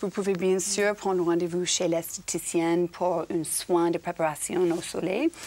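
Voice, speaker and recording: Over noticeable background noise, a woman with a fairly low pitch speaks at a fairly slow pace in a monotone, flat intonation, with very even loudness and hardly any pauses. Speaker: TV presenter on parenting show. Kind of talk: TV studio segment, lifestyle tips.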